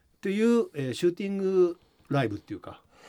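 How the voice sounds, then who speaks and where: A man speaks at a high pitch in a dark, mellow tone. His pitch swings very widely. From Japan, Shizuoka. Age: 50s. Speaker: musician and record producer. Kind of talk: interview.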